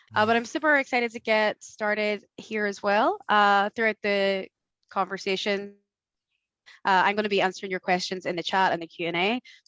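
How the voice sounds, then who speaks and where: A woman speaks with an Irish accent. The sound is dry and close, with no echo. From Ireland. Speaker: marketing manager. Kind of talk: webinar chat.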